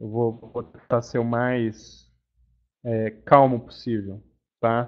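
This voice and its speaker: A man's medium-pitched, monotone voice, very slow, with long and frequent pauses. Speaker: webinar presenter, payments developer. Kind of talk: webinar presentation. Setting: online webinar. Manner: deliberately slow; casual, filler-heavy.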